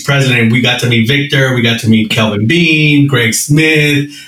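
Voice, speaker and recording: A man at medium pitch talks at a moderate pace with ordinary pitch variation while noticeable background noise is present. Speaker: co-host, code enforcement colleague. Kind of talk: casual interview.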